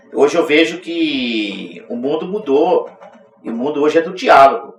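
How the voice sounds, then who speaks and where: Noticeable background noise fills the recording. A man's voice sits on top of it. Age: 60s. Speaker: union president. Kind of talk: interview.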